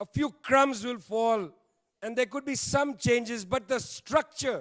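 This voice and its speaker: Recorded very clean with a silent background and a dry, close sound with no echo, a man with an Indian accent talks at a fairly slow pace in an extremely high pitch with ordinary pitch variation. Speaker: panel speaker, political commentator. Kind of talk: panel speech. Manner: emphatic, repetitive.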